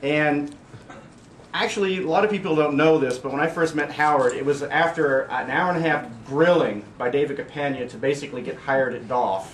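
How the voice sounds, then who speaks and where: A man with an American accent speaks at a fairly high pitch with ordinary pitch variation over noticeable background noise. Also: fairly quick pace. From southern Indiana, US. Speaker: IT director colleague. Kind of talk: farewell speech. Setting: farewell luncheon with audience. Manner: animated.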